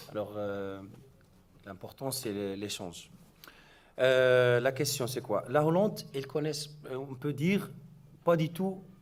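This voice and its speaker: A man of medium pitch speaks with lively intonation. He goes at a very slow pace with long, frequent pauses. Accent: non-native. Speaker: scout association president. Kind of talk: panel discussion. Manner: halting.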